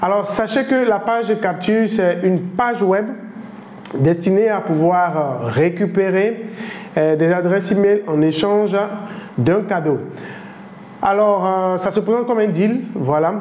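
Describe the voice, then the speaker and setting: With noticeable background noise and audible room echo, a man speaks at a high pitch and fairly slow pace, using ordinary pitch variation, very even loudness and long, frequent pauses. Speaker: online business trainer. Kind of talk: tutorial. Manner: hesitant, many fillers.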